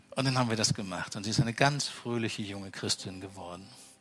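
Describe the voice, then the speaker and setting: Intonation lively, a man speaks very fast. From Franconia, Bavaria. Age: 50s. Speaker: pastor. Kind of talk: sermon. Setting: church with congregation.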